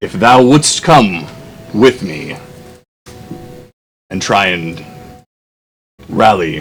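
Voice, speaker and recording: A man performs in a put-on character voice. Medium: actual play. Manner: formal, archaic.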